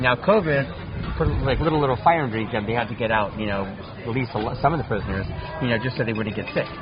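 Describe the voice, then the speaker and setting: Music plays in the background, and audible room echo surrounds the voice. A man talks very fast at a medium pitch with ordinary pitch variation. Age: 50s. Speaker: cannabis chef and author. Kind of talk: casual chat.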